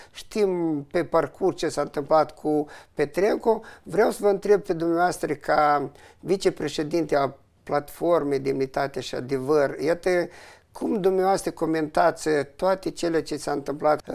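This man has an ordinary speaking voice with ordinary pitch variation. He talks at a fairly slow pace in a fairly high pitch over a quiet background. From Moldova. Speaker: independent journalist, interviewer. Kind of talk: interview. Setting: studio. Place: studio. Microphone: lapel.

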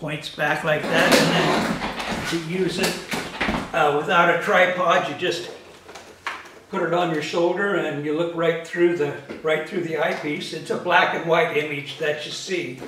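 Over noticeable background noise and audible room echo, a man talks fairly slowly in a high pitch with monotone, flat intonation. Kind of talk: casual vlog chat. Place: home room. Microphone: camera far.

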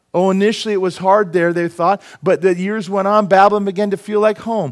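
Over a quiet background, a man with a high voice speaks at a moderate pace in an animated tone. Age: 50s. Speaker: preacher. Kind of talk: sermon. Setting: church. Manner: humorous, self-deprecating asides. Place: church.

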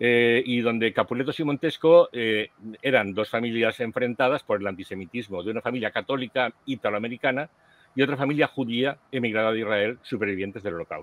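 With an unremarkable speaking voice, a man talks at a fairly quick pace and medium pitch with ordinary pitch variation, the sound dry with no echo. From Spain. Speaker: podcast host. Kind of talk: casual chat. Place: home room. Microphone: headset.

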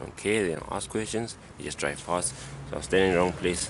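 Someone talks at a very fast pace through noticeable background noise. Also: man, dry sound with no echo. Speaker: vlogger. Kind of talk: casual vlog chat. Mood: slightly worried, waiting. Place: street. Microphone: phone near.

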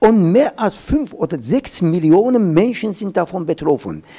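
A man with a high pitch speaks in very wide pitch swings against a quiet background. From Urmia, Iran. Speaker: professor. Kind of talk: panel discussion on climate adaptation. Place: hall. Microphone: handheld.

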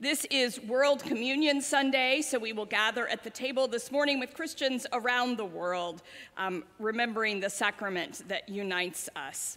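Her pitch high and its variation ordinary, a woman speaks at a moderate pace with hardly any pauses. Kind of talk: announcements and welcome to congregation. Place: church.

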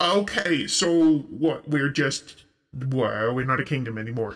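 In a put-on character voice, this man pitches his speech fairly high. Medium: actual play. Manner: casual, rambling, folksy.

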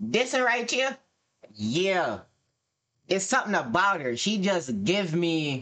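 With a bright, sharp tone and high pitch for a man, he speaks at a very slow pace with very wide pitch swings, very even loudness and long, frequent pauses against a quiet background. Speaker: streamer. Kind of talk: casual reaction commentary. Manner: animated. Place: home room.

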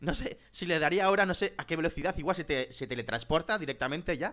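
A man against a quiet background. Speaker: gamer streamer. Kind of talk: gaming commentary. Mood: frustrated, exasperated. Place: home room. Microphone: headset.

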